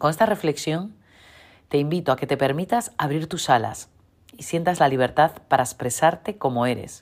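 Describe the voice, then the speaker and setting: In a very clean recording with a silent background, a woman with a very deep, low pitch and a calm tone speaks at a moderate pace, her intonation lively and her loudness swinging widely. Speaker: women's leadership coach. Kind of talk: motivational talk.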